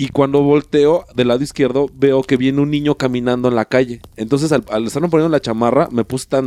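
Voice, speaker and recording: A man with a Mexican accent speaks at a fairly quick pace and a medium pitch, with a dark, mellow tone. His intonation is fairly even, and the sound is dry and close with no echo. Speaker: podcast co-host. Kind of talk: casual chat. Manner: halting, repeats words.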